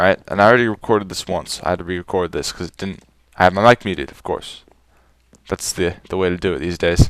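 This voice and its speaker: Very fast and very deep, a man's voice shows big swings in loudness alongside ordinary pitch variation. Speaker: gaming YouTuber. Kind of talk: gameplay commentary. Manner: casual, rambling with fillers.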